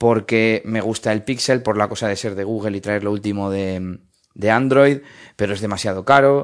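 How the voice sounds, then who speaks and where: Fairly even intonation marks the fairly low-pitched voice of a man. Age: 30s. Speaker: tech podcaster. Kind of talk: casual monologue recorded on phone. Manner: hesitant with fillers.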